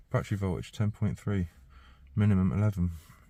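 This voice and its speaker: This man's voice is fairly low in pitch, somewhat breathy, and dark and mellow in tone. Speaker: mobile car diagnostics technician. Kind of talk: casual work vlog. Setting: inside a car at a dealership. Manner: thinking aloud, hesitant; quiet.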